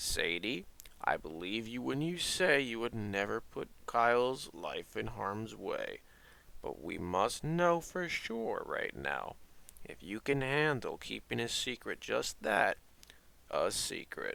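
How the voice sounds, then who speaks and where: The man puts on a character voice and speaks at a fairly slow pace. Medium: audio drama. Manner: calm, reassuring.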